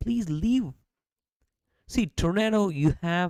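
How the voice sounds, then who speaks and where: A woman's fairly low, dark, mellow voice with a non-native accent, very wide pitch swings and a very slow pace, in a dry, close sound with no echo. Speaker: podcast host. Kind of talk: casual chat. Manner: animated.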